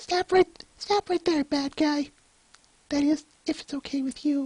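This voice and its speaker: A put-on character voice comes through at high pitch and a moderate pace. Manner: timid, polite.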